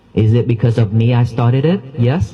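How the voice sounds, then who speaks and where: A man is speaking. Music plays in the background. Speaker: Buddhist monk. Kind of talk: dharma talk. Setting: temple hall. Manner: calm, soft-spoken.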